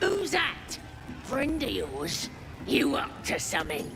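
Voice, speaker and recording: In a put-on character voice with high pitch, the speaker goes at a fairly slow pace over loud background noise. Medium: video game. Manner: rude, bossy.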